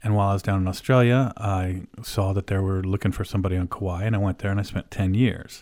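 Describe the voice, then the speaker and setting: A very clean recording with a silent background of a man with an American accent at fairly low pitch, in monotone, flat intonation at a very fast pace with hardly any pauses. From Oklahoma and Illinois. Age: 50s. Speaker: orthopedic surgeon and radio host. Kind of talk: casual radio monologue.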